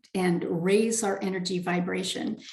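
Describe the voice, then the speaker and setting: A woman is heard amid noticeable background noise, with audible room echo. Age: 60s. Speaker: spiritual author and speaker. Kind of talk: interview.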